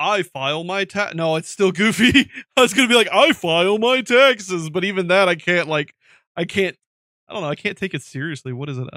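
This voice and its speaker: A man speaks in a raised, projected voice with a bright, sharp tone and a high pitch. His intonation is lively and his pace fairly quick. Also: dry, close sound with no echo, very clean recording, silent background. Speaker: gaming streamer. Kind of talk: casual chat. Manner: goofy, cartoonish exaggerated delivery.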